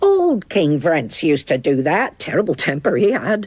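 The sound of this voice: A cartoonish character voice at a middle pitch moves along at a moderate pace.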